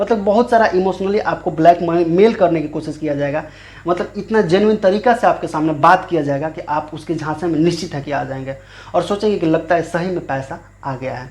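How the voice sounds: Fairly quick speech from a man with few pauses, fairly high in pitch, slightly mellow, with ordinary pitch variation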